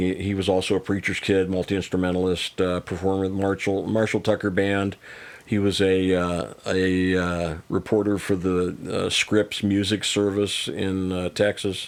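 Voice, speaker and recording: A man with an American accent speaks at a moderate pace, his pitch very deep and low and his intonation monotone and flat. The recording is very clean, with a silent background. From US, Missouri and Las Vegas area. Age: 60s. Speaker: singer-songwriter and coach. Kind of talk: casual chat.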